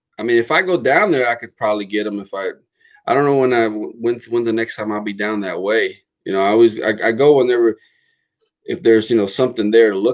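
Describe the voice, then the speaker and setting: A man with an American accent talks very fast at a medium pitch. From Florida. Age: 40s. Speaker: car channel host. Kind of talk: casual livestream chat. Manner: halting, many repetitions and fillers.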